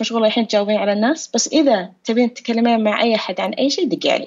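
A woman has an ordinary speaking voice with a fairly high pitch. She talks at a moderate pace. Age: late 30s. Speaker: author sharing depression experience. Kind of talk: interview testimony.

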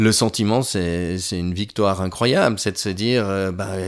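Fairly even intonation marks this man's fairly low-pitched speech. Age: 50s. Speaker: patient giving testimony. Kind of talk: testimony. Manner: halting, many hesitations and repeated words.

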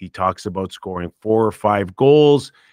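A man with a Canadian accent and an ordinary speaking voice talks at a fairly slow pace, fairly low in pitch with ordinary pitch variation. The recording is very clean with a silent background and a dry, close sound with no echo. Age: 50s. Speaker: former hockey player turned sports radio host. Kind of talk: interview.

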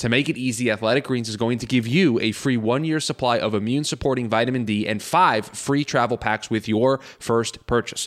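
A man speaks in a plain, everyday voice at a medium pitch with fairly even intonation. His pace is fairly quick, on a very clean recording with a silent background. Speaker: producer reading ads. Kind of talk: casual banter, ad read.

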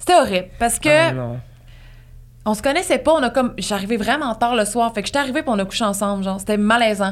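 A woman talks at a very fast pace, her fairly high voice rising and falling in a lively way. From Gaspésie, Quebec. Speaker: podcaster. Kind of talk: casual chat.

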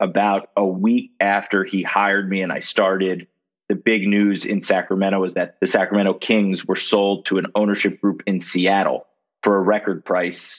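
The speaker has an American accent and monotone, flat intonation. The background is quiet. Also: man, fairly low pitch for a man, moderate pace. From Miami, Florida. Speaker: sports media executive, former TV sportscaster. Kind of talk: interview.

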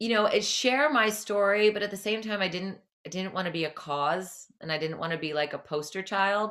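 A woman with an American accent and an unremarkable speaking voice talks at a fairly quick pace and a medium pitch, with hardly any pauses. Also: ordinary pitch variation. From New Jersey, near New York City. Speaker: cycle and fitness instructor. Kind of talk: interview.

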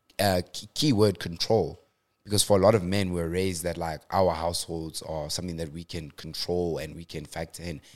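Speaking at a fairly quick pace, a man uses a very deep, low pitch and fairly even intonation. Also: very clean recording, silent background. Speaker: substitute teacher. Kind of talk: casual chat.

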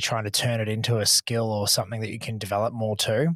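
Speaking very fast, a man talks in an Australian accent. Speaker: podcast host. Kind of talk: casual chat.

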